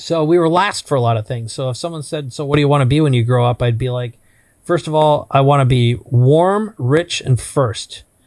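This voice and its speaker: A man with an Upper Midwest accent speaks at a fairly quick pace, his fairly high pitch varying in an ordinary way. The recording is very clean, with a silent background. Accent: Upper Midwest American. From US Midwest, Minnesota. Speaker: entrepreneur. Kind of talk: podcast interview.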